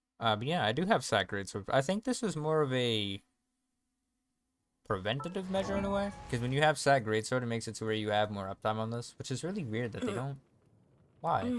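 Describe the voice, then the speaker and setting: Over music in the background, a man with a medium pitch speaks in an animated tone with very wide pitch swings. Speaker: gaming streamer. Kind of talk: live gameplay stream commentary. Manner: fast; casual, animated.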